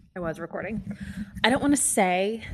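A woman's animated tone with a Midwestern American accent, over a quiet background. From US Midwest, Kansas City. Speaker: podcast host. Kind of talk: casual solo monologue. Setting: home recording in new house. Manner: animated, chatty.

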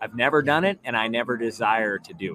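A man with an American accent, medium-pitched, lively in intonation, at a fairly quick pace, over noticeable background noise. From Southern California. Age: 40s. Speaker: mountain bike coach and former pro rider. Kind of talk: casual interview chat. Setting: live stream with chat.

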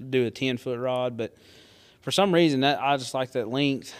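On a very clean recording with a silent background, a man with a Southern US accent speaks at a fairly high pitch. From US South. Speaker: hunter and angler. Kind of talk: casual chat.

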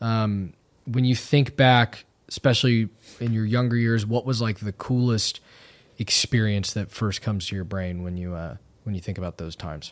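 A man in a normal speaking voice talks at a moderate pace with a fairly low pitch and ordinary pitch variation, on a very clean recording with a silent background. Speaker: podcast host. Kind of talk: casual comedic banter interview.

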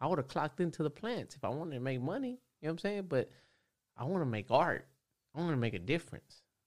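A man with an American accent and a fairly high pitch races along at a very fast pace, swinging very widely in pitch and leaving long, frequent pauses. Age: 30s. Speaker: tattoo artist. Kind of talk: casual chat.

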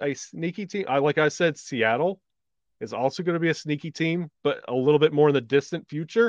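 A man with an unremarkable speaking voice talks at a fairly high pitch and a moderate pace. The sound is dry and close with no echo, against a quiet background. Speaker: podcast host. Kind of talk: casual podcast chat.

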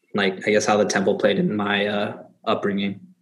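A normal speaking voice from a man, fairly low-pitched and at a moderate pace. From US, Thai-American family. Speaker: former novice monk, student. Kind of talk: casual interview.

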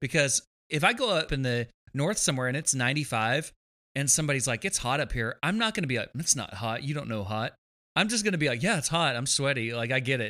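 Here is a man with a Texan accent, his pitch fairly high and his tone bright and sharp. His intonation is lively, and the recording is very clean with a silent background. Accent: Texan drawl. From Texas. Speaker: guitarist. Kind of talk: casual chat.

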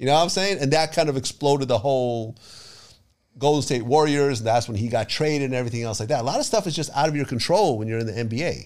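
A man with a medium-pitched voice speaks at a very fast pace. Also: ordinary pitch variation. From Ukraine. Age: 50s. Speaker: hip-hop interviewer. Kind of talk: casual chat.

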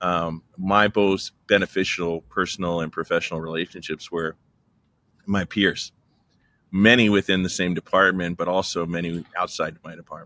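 In a very clean recording with a silent background and a dry, close sound with no echo, a man with an American accent talks at a moderate pace, his very deep, low voice bright and sharp in tone, flat and monotone in intonation, with big swings in loudness. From Texas. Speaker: marketing executive. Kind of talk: interview conversation.

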